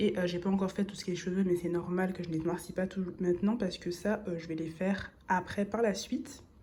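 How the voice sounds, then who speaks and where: Noticeable background noise under a woman's fairly even, medium-pitched speech. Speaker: illustrator and content creator. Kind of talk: casual voice-over chat while drawing. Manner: relaxed, many hesitations.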